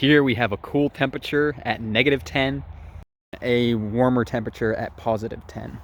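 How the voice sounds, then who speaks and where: A man talks at a moderate pace in a normal speaking voice. His pitch varies in an ordinary way. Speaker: tech reviewer. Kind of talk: tutorial.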